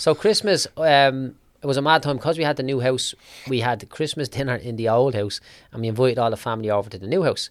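A man with an Irish accent at a very fast pace, medium pitch and ordinary pitch variation, on a very clean recording with a silent background. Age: 30s. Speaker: business mentor for tradesmen. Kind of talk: casual interview chat.

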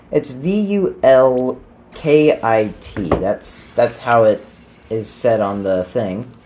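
The speech goes at a very slow pace with noticeable background noise behind it. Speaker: gaming podcast host. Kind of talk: casual let's-play chat. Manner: halting, many fillers.

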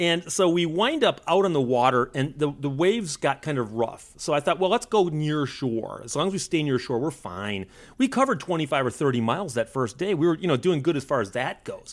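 A man's fairly high, plain, everyday voice, fairly quick in pace, with lively intonation. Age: 50s. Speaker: author and historian. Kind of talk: casual interview.

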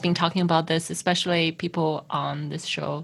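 This woman's voice sits at a fairly low pitch. She talks at a fairly quick pace. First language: not English. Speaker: podcast host. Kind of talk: interview.

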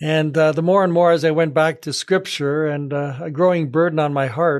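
Against a quiet background, a man with a plain, everyday voice and a fairly high pitch talks at a moderate pace with fairly even intonation. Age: 60s. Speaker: pastor and podcast co-host. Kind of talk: casual chat about faith.

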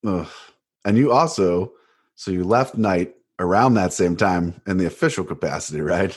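A man with a very deep, low voice speaks at a moderate pace in an American accent. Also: lively intonation, quiet background. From Cleveland, Ohio. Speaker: podcast host. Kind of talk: interview conversation.

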